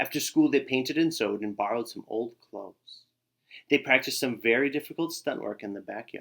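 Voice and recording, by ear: Lively intonation comes through as someone reads aloud in a natural voice, the background quiet.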